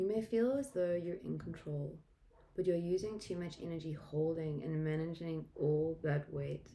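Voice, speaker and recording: In a South African accent, a woman speaks with a fairly low pitch and a dark, mellow tone. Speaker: tarot reader. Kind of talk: tarot reading.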